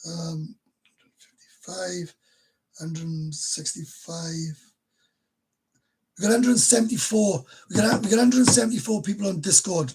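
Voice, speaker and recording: Speaking in a Welsh accent at a moderate pace, a man with a high pitch makes big swings in loudness and takes long, frequent pauses. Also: lively intonation. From Wales. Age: 50s. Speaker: YouTuber. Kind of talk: livestream chat. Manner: casual, halting.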